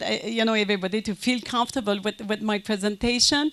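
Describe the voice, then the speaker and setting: The speaker is a woman with a French Canadian accent. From Quebec, French Canada. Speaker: conference speaker, business consultant. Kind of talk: conference lecture. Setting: conference with audience. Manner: halting, many fillers.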